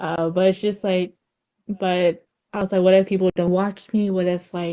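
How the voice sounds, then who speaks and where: A woman speaks with a slight Vietnamese accent, her tone dark and mellow at a medium pitch. Her pace is fairly slow and her intonation monotone and flat. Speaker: streamer. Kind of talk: casual chat. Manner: halting.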